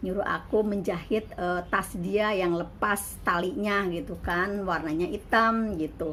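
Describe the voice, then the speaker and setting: A woman's unremarkable speaking voice, medium in pitch, at a fairly slow pace with hardly any pauses and ordinary pitch variation. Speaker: migrant domestic worker and vlogger. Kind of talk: casual vlog monologue.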